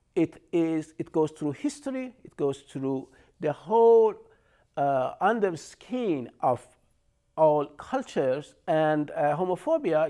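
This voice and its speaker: A man with an Iranian accent speaks at a fairly slow pace in a high-pitched voice with a dark, mellow tone, lively intonation and big swings in loudness. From Iran, Shiraz. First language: Persian. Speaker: artist and storyteller. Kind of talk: lecture. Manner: halting.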